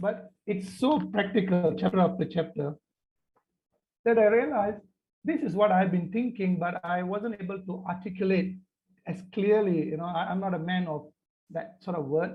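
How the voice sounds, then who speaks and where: In a Tamil accent, a man with a high pitch speaks at a moderate pace with ordinary pitch variation. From Malaysia. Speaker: panelist. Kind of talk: panel discussion. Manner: halting.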